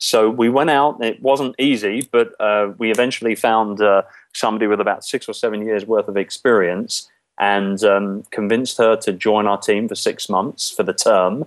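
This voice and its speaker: Over a quiet background, a man with an English accent talks at a moderate pace with fairly even intonation. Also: medium pitch for a man. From England, London. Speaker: outsourcing business owner. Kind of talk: interview. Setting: Skype call.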